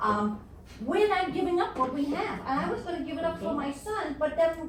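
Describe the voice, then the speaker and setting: In a New York accent, a woman speaks at a very fast pace with audible room echo. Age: 70s. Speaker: audience member at panel event. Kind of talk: audience question at panel discussion. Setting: live panel event with audience.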